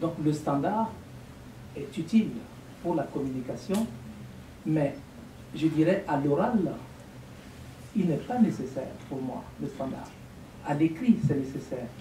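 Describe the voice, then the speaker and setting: A man with an African accent speaks at a very slow pace in a fairly high pitch, his intonation lively. Long pauses come often, and the room echo is audible. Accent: African francophone accent, unchanged. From Burkina Faso. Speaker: lecturer, language teacher. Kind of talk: lecture Q&A. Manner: articulate.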